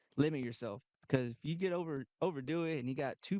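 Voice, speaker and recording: This man speaks in a Texan accent with a fairly high pitch, a dark, mellow tone, ordinary pitch variation, and a dry, close sound with no echo. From Texas (Goliad). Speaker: kayak tournament angler. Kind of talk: casual chat. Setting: studio.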